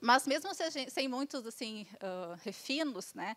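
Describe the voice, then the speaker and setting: A woman's high voice on a very clean recording with a silent background. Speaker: municipal tax auditor. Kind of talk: conference presentation. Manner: fast.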